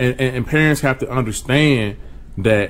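Using a medium pitch with ordinary pitch variation, a man talks at a moderate pace with vocal fry. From Georgia. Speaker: podcast host. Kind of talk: casual interview.

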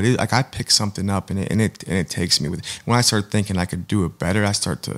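Over a quiet background, a man with a normal speaking voice and an American accent talks at a fairly quick pace, his fairly low pitch showing ordinary variation. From Pittsburgh area, Pennsylvania; Pennsylvania. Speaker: painter; podcast guest. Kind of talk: casual interview. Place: studio.

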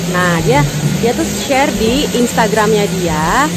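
A woman at a fairly slow pace, with music in the background and a dry sound with no echo. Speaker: travel food vlogger. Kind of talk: casual vlog chat. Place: street. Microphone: phone near.

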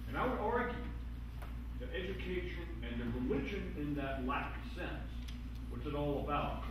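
A man's very deep, low voice at a moderate pace, amid noticeable background noise and strong room echo. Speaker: philosopher. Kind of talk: panel discussion. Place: meeting room. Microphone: camera far.

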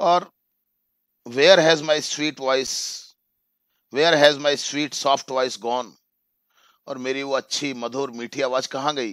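A man's fairly high, fairly even voice at a very slow pace, broken by long, frequent pauses, dry with no echo against a quiet background. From India. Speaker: English teacher. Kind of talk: lecture. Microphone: video call.

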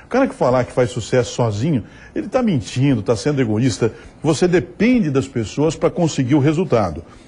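Somewhat breathy and dark, mellow in tone, a man talks at a fairly quick pace in a fairly high pitch with very wide pitch swings. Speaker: TV show host presenter. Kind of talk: TV regional program presenter talk to camera.

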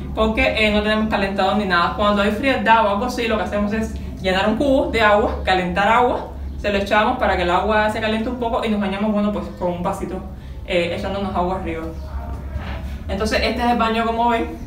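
Very fast speech comes from a woman, with light background noise and audible room echo. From Cuba. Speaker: vlogger. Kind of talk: casual house tour to camera. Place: home room. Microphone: phone near.

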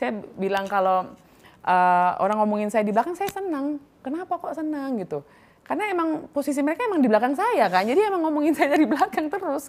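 A woman talks at a very fast pace in a high pitch. Her pitch swings very widely. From Papua, Indonesia; Indonesia. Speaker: model and beauty pageant winner; podcast guest. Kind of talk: casual interview chat. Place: studio. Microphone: studio mic.

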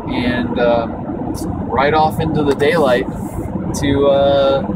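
Through loud background noise, a man speaks at a very slow pace in a dry sound with no echo. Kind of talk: casual vlog chat. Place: car.

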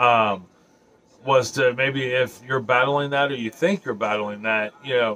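The man talks at a moderate pace with fairly even intonation. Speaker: vlogger. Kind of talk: casual vlog chat. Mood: serious, reflective. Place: home room.

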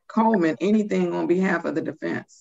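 The speaker keeps a moderate pace against a quiet background. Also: woman. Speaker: judge. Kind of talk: court sentencing hearing. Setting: video call. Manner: chatty, jokes from the bench. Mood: measured, authoritative. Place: office. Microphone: video call.

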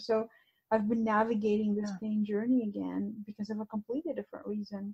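Over a quiet background, a woman speaks at a fairly high pitch in a somewhat breathy voice. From Eastern Europe. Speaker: movement specialist and therapist. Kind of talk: casual interview.

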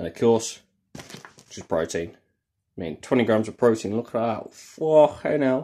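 Speaking at a fairly slow pace, the man has a dark, mellow tone. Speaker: fitness vlogger. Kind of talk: casual vlog chat. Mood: slightly unsure, casual.

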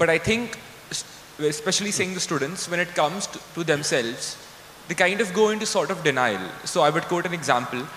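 Speaking at a fairly quick pace with ordinary pitch variation, a man with a high voice for his sex is heard over light background noise and audible room echo. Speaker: student moderator. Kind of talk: moderated Q&A. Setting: stage with audience. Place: stage. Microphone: handheld.

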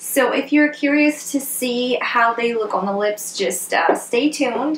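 A woman talks at a moderate pace with ordinary pitch variation, her voice carrying audible room echo. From Poland. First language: Polish. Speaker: beauty blogger. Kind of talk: casual talk to camera. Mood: upbeat, friendly. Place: home room.

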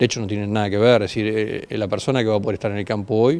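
A man speaks at a very fast pace. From Argentina. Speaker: agribusiness company founder. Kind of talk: interview. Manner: halting, repeats words. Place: hall. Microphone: handheld.

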